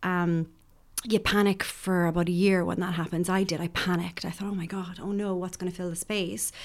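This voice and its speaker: A woman with an Irish accent talks at a fairly quick pace in a monotone, flat intonation. Her pitch is fairly low, and the recording is very clean with a silent background. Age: 40s. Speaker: addiction professional. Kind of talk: casual chat.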